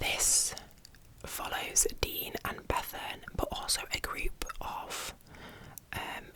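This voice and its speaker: A woman whispers very slowly, with long, frequent pauses and noticeable background noise. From England. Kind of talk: ASMR book review. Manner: whispered, soft-spoken.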